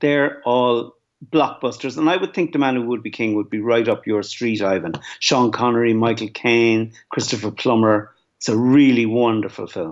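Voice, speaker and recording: In a Dublin accent, a man talks at a moderate pace with medium pitch and ordinary pitch variation. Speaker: film producer. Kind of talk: panel discussion. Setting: remote from home.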